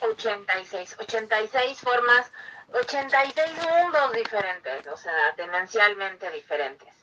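Over noticeable background noise, a woman with a fairly high pitch talks at a very slow pace with very wide pitch swings. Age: 30s. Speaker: podcast host. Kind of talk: interview.

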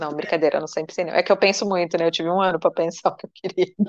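There is a dry, close sound with no echo as a woman speaks at a medium pitch with fairly even intonation. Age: 30s. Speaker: financial consultant. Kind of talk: casual chat.

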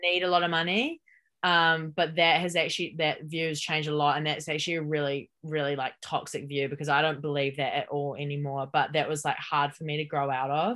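A woman speaks at a very deep, low pitch with a New Zealand accent and a bright, sharp tone. Her pace is fairly quick, her intonation fairly even, with hardly any pauses. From New Zealand, Hamilton. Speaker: podcast guest, founder of a self-development initiative. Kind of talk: casual interview chat.

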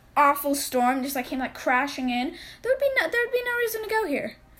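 Noticeable background noise surrounds a woman's high voice. She talks at a fairly quick pace with lively intonation. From Arizona. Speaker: podcast co-host. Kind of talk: casual chat. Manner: halting, many fillers.

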